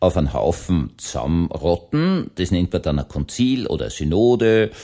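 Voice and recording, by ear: At a moderate pace, a man with a low, dark, mellow voice speaks with big pitch swings.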